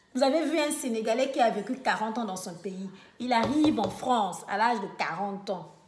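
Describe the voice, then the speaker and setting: Amid noticeable background noise and audible room echo, a woman speaks fairly slowly at a fairly high pitch, her pitch swinging very widely. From Republic of the Congo (Brazzaville). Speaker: vlogger. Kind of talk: casual monologue rant. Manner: animated, mocking imitations; many hesitations (euh).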